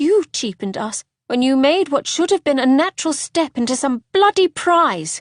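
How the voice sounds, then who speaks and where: A put-on character voice, female-sounding and high-pitched for a woman, at a moderate pace with hardly any pauses, over a quiet background. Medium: read story. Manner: sharp, sardonic.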